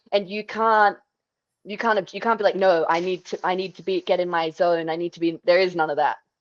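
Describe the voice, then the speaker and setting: A woman with an Australian accent at a fairly quick pace, in a dry, close sound with no echo. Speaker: MMA and Muay Thai fighter. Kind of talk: interview.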